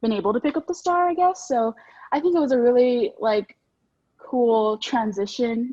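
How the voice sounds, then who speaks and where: A woman speaks at a fairly high pitch. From Texas, San Antonio. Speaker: student newspaper editor. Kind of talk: interview. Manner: fast; animated.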